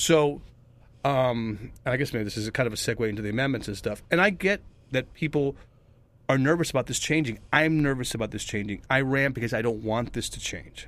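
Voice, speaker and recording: Ordinary pitch variation at a fairly quick pace. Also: man, medium pitch for a man. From US East Coast (New Jersey, North Carolina, Florida), Cuban family. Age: 50s. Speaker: local council candidate. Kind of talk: radio interview. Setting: radio studio. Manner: mild-mannered.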